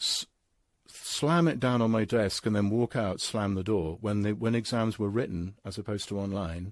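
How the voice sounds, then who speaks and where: Over a very clean recording with a silent background, a man with a medium pitch speaks at a moderate pace. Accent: British. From England. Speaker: philosopher and English professor. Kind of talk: interview conversation. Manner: halting, frequent stammers and self-corrections; animated.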